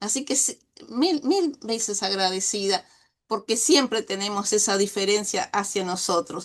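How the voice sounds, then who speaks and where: A woman speaks with a Uruguayan accent and ordinary pitch variation. The background is quiet. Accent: Uruguayan Rioplatense Spanish. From Uruguay, Dolores (Soriano). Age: 60s. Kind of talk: interview.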